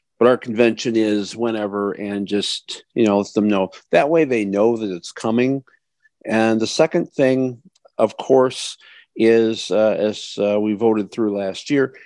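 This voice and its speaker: A man talks at a medium pitch and a fairly slow pace, in an ordinary speaking voice. His intonation is fairly even, and the sound is dry and close with no echo. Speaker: vice president and resolutions committee member. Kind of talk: panel explanation and Q&A. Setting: online video call.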